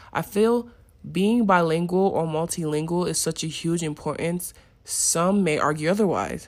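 A woman with a plain, everyday voice speaks at a moderate pace and fairly low pitch, with ordinary pitch variation. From Nigeria, moved to US at seven. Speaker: student podcaster. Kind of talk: scripted class presentation.

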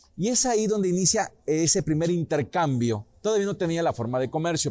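A man's pitch swings very widely as he talks. His pace is moderate, with background music playing. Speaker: local history teacher. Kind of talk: informal history talk. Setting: restaurant.

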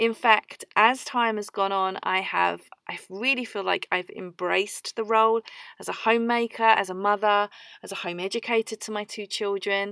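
In a very clean recording with a silent background and a dry, close sound with no echo, a woman with an English accent speaks at a medium pitch and a moderate pace, her bright, sharp tone flat and monotone in intonation, with big swings in loudness. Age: 30s. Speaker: podcast host, homemaker. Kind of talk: solo podcast monologue. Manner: chatty, talkative.

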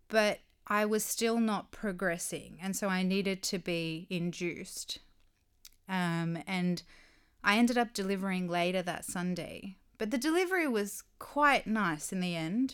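Recorded very clean with a silent background, a woman with a normal speaking voice talks at a fairly slow pace in a medium pitch with ordinary pitch variation. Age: 30s. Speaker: podcast co-host, mother. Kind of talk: casual chat.

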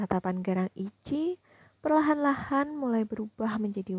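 Reading aloud in a natural voice, the speaker uses lively intonation.

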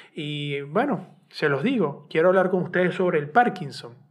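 A man with a Venezuelan accent, moderate pace and ordinary pitch variation. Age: 30s. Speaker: podcast host and journalist. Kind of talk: solo personal podcast monologue. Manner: halting, repetitive.

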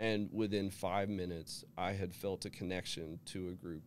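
A man speaks with an American accent and ordinary pitch variation. His very deep, low voice carries vocal fry. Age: 40s. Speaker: person in recovery. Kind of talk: testimony. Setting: studio.

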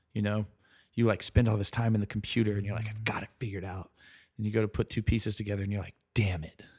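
Very clean with a silent background, the recording has a man speaking very fast in a somewhat breathy, fairly low, monotone, flat voice. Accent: American. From US South, South Carolina. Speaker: architect. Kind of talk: casual interview. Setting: in person, Brooklyn.

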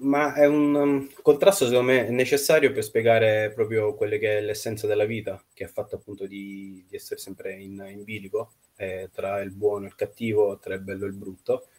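A man's ordinary speaking voice, medium in pitch, with ordinary pitch variation, a fairly quick pace and big swings in loudness. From Russia, Nizhny Novgorod, then Italy. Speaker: novelist. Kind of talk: interview.

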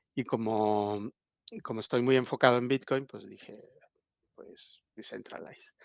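A man at a medium pitch and fairly slow pace, with fairly even intonation, big swings in loudness, long, frequent pauses and a dry, close sound with no echo. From Mexico, Oaxaca. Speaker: bitcoin event organizer. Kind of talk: podcast interview.

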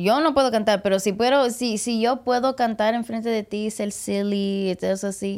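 The recording is very clean and the background silent. A woman speaks at a moderate pace. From Puerto Rican and Mexican heritage, US. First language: English (speaking Spanish). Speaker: podcast host and comedian. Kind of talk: casual chat. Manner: loud; animated.

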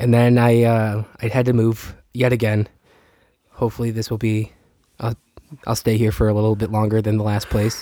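A man speaks at a moderate pace in a fairly low, nasal voice with a dark, mellow tone and monotone, flat intonation.

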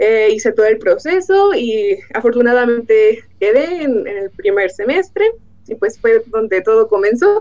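Her pitch fairly high and her tone dark and mellow, a woman speaks at a fairly slow pace with very wide pitch swings. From Mexico, Michoacán. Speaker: materials engineer. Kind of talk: interview.

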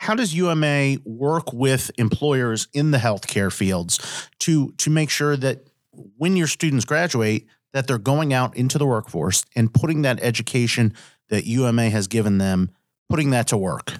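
A man talks at a fairly slow pace in an ordinary speaking voice, his pitch medium and his loudness very even. The sound is dry and close with no echo, on a very clean recording with a silent background. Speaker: lawyer and podcast host. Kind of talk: interview conversation.

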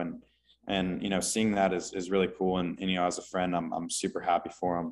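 A man with an American accent talks very fast in a very deep, low voice, captured on a very clean recording with a silent background. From Texas, Houston. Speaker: college golfer. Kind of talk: interview.

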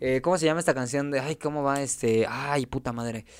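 This man's voice sits at a fairly high pitch. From Mexico City. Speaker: podcast host. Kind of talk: casual chat.

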